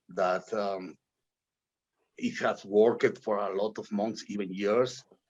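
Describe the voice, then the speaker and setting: A man with a non-native accent speaks at a fairly slow pace. His pitch variation is ordinary, and the background is quiet. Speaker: blockchain project director. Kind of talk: interview. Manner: halting, many fillers.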